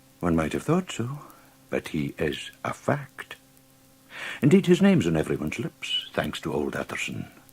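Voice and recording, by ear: Putting on a character voice, a man uses an extremely low pitch with vocal fry and a husky, rough edge, very wide pitch swings and a fairly slow pace.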